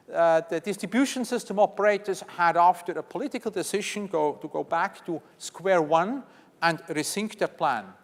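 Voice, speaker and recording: A man with a Swiss accent talks in a high pitch. His pace is moderate and his pitch variation ordinary. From Switzerland. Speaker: conference session moderator. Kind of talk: conference session introduction. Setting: conference stage with audience.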